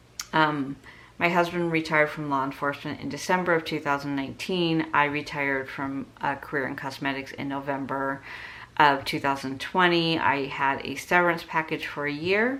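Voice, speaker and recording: A woman's very deep, low pitch with a bright, sharp tone, fairly even intonation and a moderate pace. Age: 60s. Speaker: budgeting vlogger. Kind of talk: casual tutorial vlog. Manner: conversational with frequent fillers.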